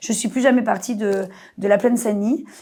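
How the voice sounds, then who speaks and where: A woman speaks at a fairly quick pace in an animated tone, her fairly high pitch varying normally. The recording is very clean, with a silent background. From Marseille, southern France. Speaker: actress. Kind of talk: podcast interview.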